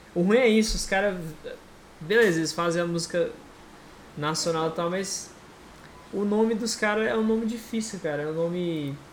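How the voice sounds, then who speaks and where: This man's voice is high in pitch, with ordinary pitch variation and long, frequent pauses. The recording has audible room echo and noticeable background noise. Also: moderate pace. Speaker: podcast host and moderator. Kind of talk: casual chat.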